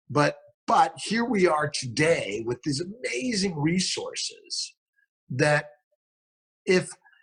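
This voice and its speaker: Speaking very slowly with an American accent, a man leaves long, frequent pauses. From Los Angeles, US West Coast. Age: 60s. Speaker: fertility doctor. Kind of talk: interview. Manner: halting, many repeated words.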